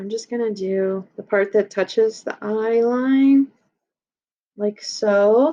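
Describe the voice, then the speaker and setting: A woman speaks at a very slow pace in a dark, mellow tone. Her intonation stays fairly even. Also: fairly high pitch for a woman. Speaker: elementary school art teacher. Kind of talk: tutorial.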